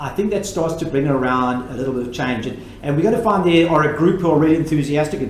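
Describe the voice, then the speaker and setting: Over noticeable background noise and audible room echo, a man talks at a very fast pace with hardly any pauses. His pitch is fairly high with ordinary variation. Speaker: education technology presenter. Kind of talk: webinar Q&A. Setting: live webinar.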